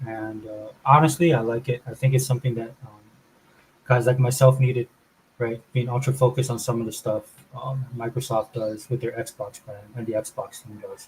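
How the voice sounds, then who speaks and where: In a somewhat breathy, medium-pitched voice, a man speaks at a moderate pace with monotone, flat intonation and big swings in loudness. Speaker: gaming channel host. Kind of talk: casual commentary video. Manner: frequent fillers.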